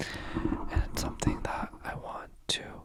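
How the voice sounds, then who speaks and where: A man whispering amid noticeable background noise. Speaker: youtuber. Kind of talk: asmr movie review.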